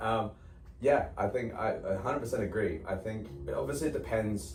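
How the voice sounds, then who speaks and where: A man talks with audible room echo while music plays behind him. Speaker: fitness coach and podcast co-host. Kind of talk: casual podcast chat. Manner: softer than he used to be.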